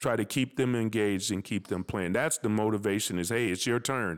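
A man speaks at a moderate pace in a normal speaking voice with ordinary pitch variation. The recording is very clean, with a silent background. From US Midwest, North Minneapolis. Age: 60s. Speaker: high school basketball coach. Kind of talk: casual interview.

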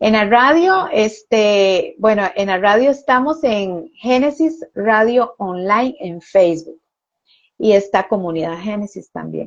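Her fairly high voice carries lively intonation as the woman speaks at a very slow pace. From Costa Rica. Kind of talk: testimony.

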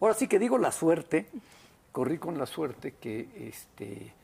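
A man's voice with very wide pitch swings. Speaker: restaurateur and food critic. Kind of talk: interview. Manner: hesitant with many fillers.

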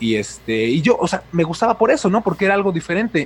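This man's voice sits high in pitch. He speaks at a very fast pace. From Mexico City. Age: 20s. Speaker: YouTube film critic. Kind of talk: casual interview.

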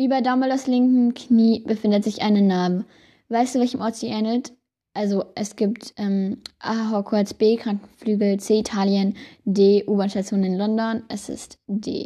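Somewhat breathy, a woman speaks at a fairly high pitch and a fairly slow pace. The background is quiet. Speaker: podcast host. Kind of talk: casual quiz monologue. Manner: animated. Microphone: new small microphone.

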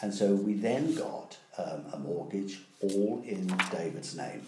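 Against noticeable background noise, a man with a fairly low pitch speaks at a fairly slow pace, his voice making very wide pitch swings. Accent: East Anglian. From England, Ipswich. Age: 70s. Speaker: interviewee. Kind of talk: casual chat.

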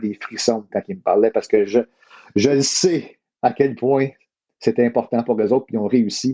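This man has an unremarkable speaking voice, medium in pitch, and talks at a fairly quick pace. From Ottawa, eastern Ontario. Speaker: sports journalist. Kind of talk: casual interview.

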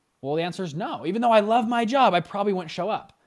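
Someone speaks at a very fast pace on a very clean recording with a silent background. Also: man. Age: 20s. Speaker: fund founder and online course teacher. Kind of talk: casual interview. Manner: casual, conversational.

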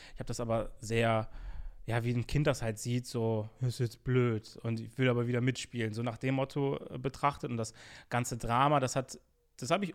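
In a very clean recording with a silent background, a man with an unremarkable speaking voice talks at a moderate pace, his medium pitch showing ordinary variation. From Germany, Bonn. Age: 20s. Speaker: YouTube interviewer. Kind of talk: casual chat.

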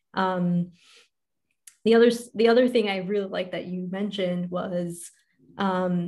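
A woman's somewhat breathy, medium-pitched voice, monotone and flat, at a fairly slow pace. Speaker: podcast host and life coach. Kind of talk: casual interview chat.

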